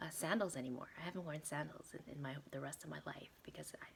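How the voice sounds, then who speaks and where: A woman talks at a moderate pace. Vocal fry runs through her voice. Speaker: vlogger. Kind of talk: casual monologue to camera. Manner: halting, many repetitions and fillers.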